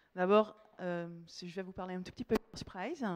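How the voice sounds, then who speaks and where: Very fast speech from a woman with a Dutch accent, fairly even intonation, and a dry, close sound with no echo. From Netherlands. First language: Dutch (speaking French). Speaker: marketing manager. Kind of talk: conference talk. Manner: halting, many fillers.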